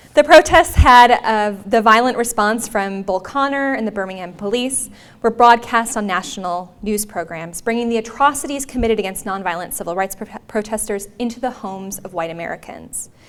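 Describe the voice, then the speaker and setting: In a Minnesotan accent, the speaker talks at a fairly quick pace with hardly any pauses, ordinary pitch variation, and big swings in loudness. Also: woman, fairly high pitch for a woman. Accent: Minnesota. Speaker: history professor. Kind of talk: lecture. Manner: uses fillers like um and uh.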